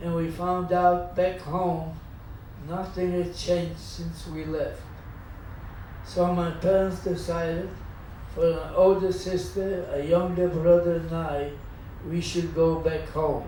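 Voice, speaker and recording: A man speaks at a very slow pace, with long, frequent pauses. There is noticeable background noise. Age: 80s+. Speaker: Holocaust survivor. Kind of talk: life story talk to audience.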